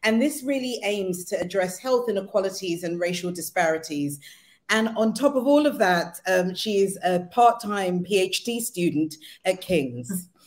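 Speaking at a fairly slow pace, a woman uses lively intonation. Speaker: co-host. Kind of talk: guest introduction. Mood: warm, excited. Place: home room.

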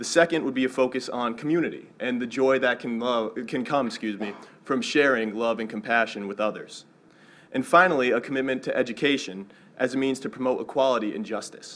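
At a fairly quick pace, a man speaks with ordinary pitch variation. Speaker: student government president; speaker. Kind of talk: speech. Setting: stage with audience. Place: hall. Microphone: podium.

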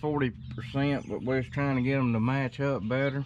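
With a dry sound and no echo, the man keeps to a moderate pace. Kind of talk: casual vlog chat. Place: farm machine. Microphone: phone near.

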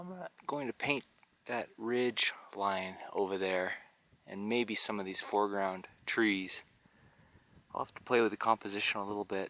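A man speaks in a bright, sharp tone, leaving long, frequent pauses. The sound is dry with no echo. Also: fairly low pitch for a man, fairly even intonation, moderate pace. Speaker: painter vlogger. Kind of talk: casual vlog chat. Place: open country. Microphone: phone near.

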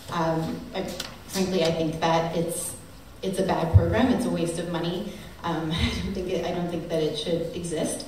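A fairly low-pitched female voice at a moderate pace with fairly even intonation, audible room echo, and light background noise. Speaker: politician. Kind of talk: speech at a teach-in panel. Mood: critical, persuasive. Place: hall. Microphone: camera far.

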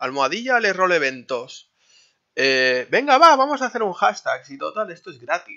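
The voice is male and sits high. Its pitch jumps across an extremely wide range. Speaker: gaming youtuber. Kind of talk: vlog monologue. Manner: casual, filler-heavy.

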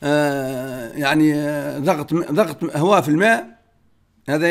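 This is a man speaking. He has a Tunisian accent. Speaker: car mechanic answering viewer questions. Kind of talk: Q&A reading and answering viewer comments.

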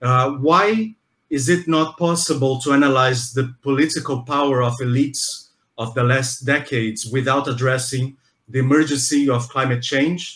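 With a Brazilian accent, a man speaks at a medium pitch and a moderate pace. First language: Portuguese. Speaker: museum interviewer. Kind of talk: interview. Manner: halting.

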